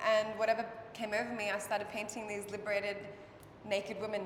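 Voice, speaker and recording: A woman with an Australian accent speaks at a moderate pace. Noticeable background noise and audible room echo are present. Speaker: artist. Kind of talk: casual interview. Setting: art gallery opening night.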